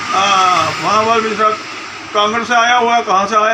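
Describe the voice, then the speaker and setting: Raising and projecting his high voice with fairly even intonation, a man is heard with audible room echo and noticeable background noise. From Delhi, India. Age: 70s. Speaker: interviewed passer-by. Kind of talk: street interview (vox pop).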